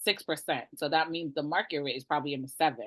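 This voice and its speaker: A woman's very deep, low-pitched voice with an American accent. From Brooklyn, New York (East New York), Jamaican family. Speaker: realtor. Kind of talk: webinar presentation. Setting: video call. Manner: animated.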